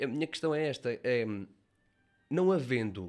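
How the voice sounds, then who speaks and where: On a very clean recording with a silent background, the speaking moves fairly slowly. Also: man. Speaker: student podcast host. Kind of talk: interview.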